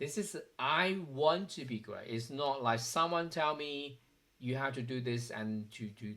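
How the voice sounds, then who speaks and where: With a Chinese accent, a man speaks in a bright, sharp tone at a fairly high pitch. His pace is fairly slow. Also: ordinary pitch variation. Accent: Chinese accent, noticeable. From China. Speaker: software developer vlogger. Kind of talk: personal vlog monologue. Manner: hesitant, with fillers.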